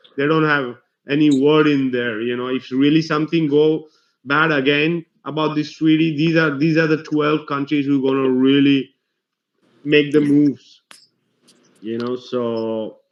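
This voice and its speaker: At a fairly slow pace, a man talks with a fairly high pitch. His intonation stays fairly even. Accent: non-native. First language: not English. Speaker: conspiracy video host. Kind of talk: casual discussion. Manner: halting.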